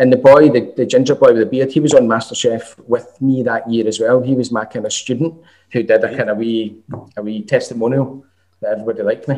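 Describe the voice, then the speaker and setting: A man with a Glaswegian accent at a very fast pace, medium in pitch, dark and mellow in tone, with fairly even intonation. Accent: Glaswegian Scottish. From Scotland, Glasgow. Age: 40s. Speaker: chef and college lecturer. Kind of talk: casual chat.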